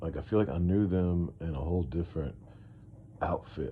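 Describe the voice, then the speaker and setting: His voice is somewhat breathy. The man keeps a moderate pace. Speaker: podcast host. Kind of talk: casual monologue. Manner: rambling, hesitant with fillers.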